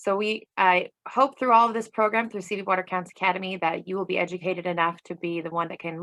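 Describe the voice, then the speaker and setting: Talking at a very fast pace, a woman has a fairly low pitch and a bright, sharp tone. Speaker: water conservation presenter. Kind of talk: online class presentation.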